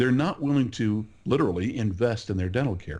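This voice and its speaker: A man with an American accent speaks at a moderate pace. The background is quiet. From California. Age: 60s. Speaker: market researcher. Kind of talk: podcast interview.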